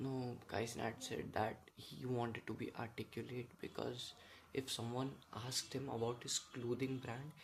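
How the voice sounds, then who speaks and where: With a medium pitch and fairly even intonation, a man speaks in a somewhat breathy voice. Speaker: vlogger. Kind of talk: casual monologue. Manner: halting.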